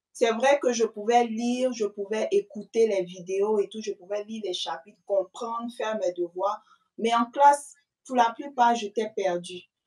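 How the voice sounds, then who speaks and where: Speaking fairly slowly, a woman uses an unremarkable speaking voice. Her pitch is fairly high, with ordinary pitch variation. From Ivory Coast. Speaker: student mother, channel host being interviewed. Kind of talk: interview answers.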